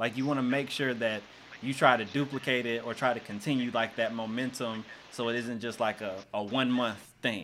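Medium in pitch, a man talks at a moderate pace with a Southern US accent. His intonation is monotone and flat. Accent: US South. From Arkansas. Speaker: podcast host and coach. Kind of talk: casual chat.

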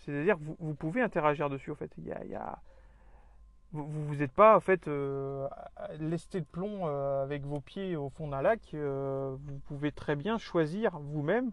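Fairly high-pitched male speech at a fairly slow pace, with ordinary pitch variation, big swings in loudness, and long, frequent pauses. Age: 30s. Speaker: podcast host on survivalism. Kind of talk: solo monologue. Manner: halting, many fillers and repetitions.

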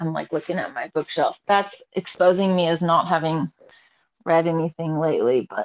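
Using a normal speaking voice with an American accent, a woman talks at a moderate pace and fairly low pitch, with ordinary pitch variation. The sound is dry and close, with no echo. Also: big swings in loudness. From Oregon (Salem). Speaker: musician. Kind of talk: casual interview.

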